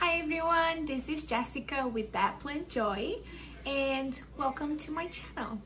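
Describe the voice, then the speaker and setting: Speaking at a fairly slow pace, a woman with a high pitch and a bright, sharp tone shows ordinary pitch variation, with audible echo from the room. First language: not English. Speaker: houseplant youtuber. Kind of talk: casual tutorial. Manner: animated.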